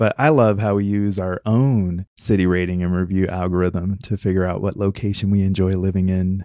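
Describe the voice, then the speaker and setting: A man speaks in a very deep, low pitch and a dark, mellow tone, with hardly any pauses. His intonation is fairly even, on a very clean recording with a silent background. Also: moderate pace. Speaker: podcast host, digital nomad. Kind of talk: casual conversation. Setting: outdoors, roadside by car.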